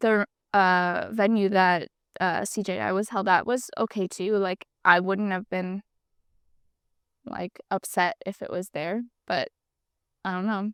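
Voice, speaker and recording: A woman with an American accent, fairly slow and fairly even in intonation, with long, frequent pauses, on a very clean recording with a silent background. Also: medium pitch for a woman, dry, close sound with no echo. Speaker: podcast co-host, jiu-jitsu athlete. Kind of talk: casual chat.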